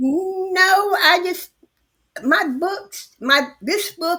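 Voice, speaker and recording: The woman's voice has a bright, sharp tone. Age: 80s+. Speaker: author. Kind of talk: interview.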